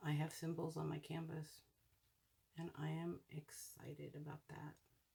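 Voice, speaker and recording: Mumbled speech at a moderate pace. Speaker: hobby crafting video creator. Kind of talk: casual craft tutorial narration. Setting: at home at night. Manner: mumbling; soft-spoken.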